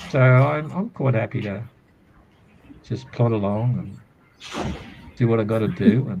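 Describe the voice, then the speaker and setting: Noticeable background noise sits behind a man with an Australian accent and a medium pitch. He talks at a fairly slow pace with ordinary pitch variation and long, frequent pauses. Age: 70s. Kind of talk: casual chat. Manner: halting, with repeated words.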